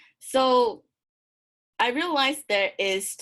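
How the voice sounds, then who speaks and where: Here a woman talks in a Malaysian accent. Her pitch swings very widely. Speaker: graduate student presenter, English teacher. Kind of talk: academic presentation. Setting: video call. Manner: halting.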